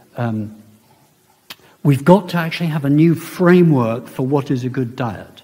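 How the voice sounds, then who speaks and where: This man talks at a moderate pace and a medium pitch. His pitch varies in an ordinary way, and there is audible room echo. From India, then Britain. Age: 70s. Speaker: professor. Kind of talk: public lecture. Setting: lecture hall with audience. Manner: animated.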